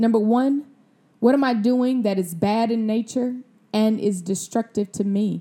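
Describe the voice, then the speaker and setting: A woman speaks with an American accent. Her tone is dark and mellow, and her intonation is fairly even. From Mississippi, US South. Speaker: wellness podcast host, doctor. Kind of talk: solo podcast talk, motivational teaching.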